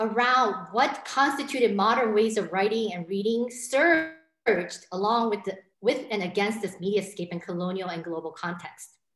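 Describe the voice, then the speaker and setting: A woman speaks with lively intonation and hardly any pauses. The background is quiet, though room echo is audible. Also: moderate pace. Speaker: professor. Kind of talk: lecture. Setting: video call. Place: home room. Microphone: webcam.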